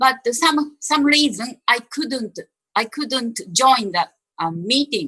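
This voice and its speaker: Very slowly, a woman speaks at a high pitch in a Japanese accent, her tone bright and sharp. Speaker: panelist. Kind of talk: self-introduction. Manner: halting.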